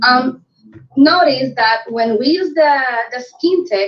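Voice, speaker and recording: A woman with a Spanish accent speaks at a very slow pace in a high pitch, with lively intonation. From Puerto Rico. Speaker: network marketing director. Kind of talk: sales pitch on video call. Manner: halting.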